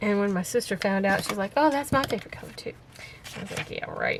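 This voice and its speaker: Over noticeable background noise, a woman with a Southern accent speaks at a fairly quick pace. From US South, Florida and Texas. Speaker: crafter. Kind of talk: crafting tutorial. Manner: casual, chatty.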